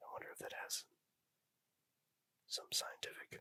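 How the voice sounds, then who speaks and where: Whispering at a fairly slow pace, a man is heard in a dry, close sound with no echo. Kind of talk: ASMR whispered trivia reading. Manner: whispered, soft-spoken; casual, chatty, with filler words and laughter.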